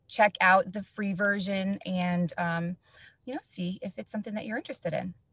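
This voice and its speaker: With an American accent and a normal speaking voice, a woman talks at a moderate pace and medium pitch with ordinary pitch variation, in a dry, close recording with no echo. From New Jersey. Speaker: education facilitator, former teacher. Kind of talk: tutorial webinar.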